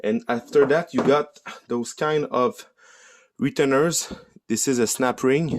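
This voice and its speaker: A man with a French accent talks at a fairly slow pace. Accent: non-native English, French. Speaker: DIY car repair YouTuber. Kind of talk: tutorial. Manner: halting, with many fillers.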